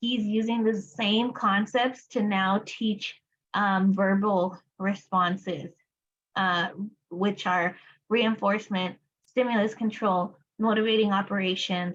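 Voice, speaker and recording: Very slowly and somewhat breathily, a woman talks in a Spanish accent at a medium pitch with fairly even intonation. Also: very even loudness. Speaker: applied behavior analysis educator. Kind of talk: study group lecture. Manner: casual, many fillers.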